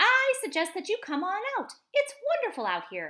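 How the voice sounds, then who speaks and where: A put-on character voice, squeaky and raised to project, moves at a moderate pace. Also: woman, extremely high pitch for a woman. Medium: read story. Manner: fast, repeats words.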